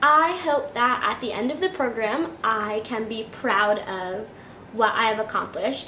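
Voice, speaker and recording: With audible room echo and clear background noise, a woman's words come rather unhurriedly. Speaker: vlogger. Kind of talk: casual vlog.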